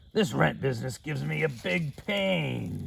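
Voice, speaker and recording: A put-on character voice from a man, raspy and very deep, with very wide pitch swings at a moderate pace. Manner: groaning, complaining.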